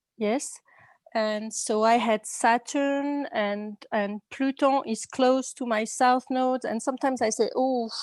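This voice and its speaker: In a French accent, the speaker goes at a very slow pace with fairly even intonation, and the sound is dry and close with no echo. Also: woman, high pitch for a woman. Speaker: class attendee. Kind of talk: question in online class. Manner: halting.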